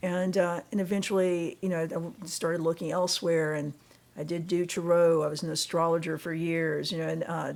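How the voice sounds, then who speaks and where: A woman's fairly low voice, delivered at a moderate pace, shows ordinary pitch variation. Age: 60s. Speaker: church member giving testimony. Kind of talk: testimony. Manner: halting.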